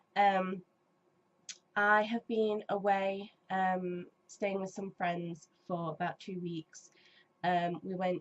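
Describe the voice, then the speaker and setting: A woman with an English accent speaks at a very slow pace. Her medium-pitched voice stays monotone and flat. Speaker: gaming YouTuber. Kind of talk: casual chat. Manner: hesitant, many ums.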